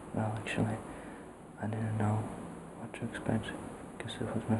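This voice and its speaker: The voice is soft-spoken. Noticeable background noise can be heard. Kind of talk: casual talk to camera.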